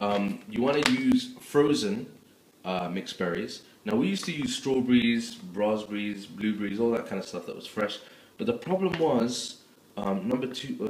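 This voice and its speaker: A man's voice with audible room echo and light background noise. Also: moderate pace. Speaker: home cook vlogger. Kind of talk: tutorial. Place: kitchen. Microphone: phone near.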